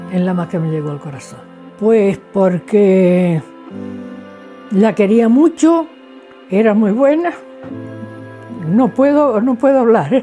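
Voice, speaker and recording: Faint music sits behind a woman speaking in a Canarian accent. Her pace is very slow, with long, frequent pauses and very wide pitch swings. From Canary Islands. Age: 70s. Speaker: craftswoman; interviewee. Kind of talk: interview testimony. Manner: halting. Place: home room.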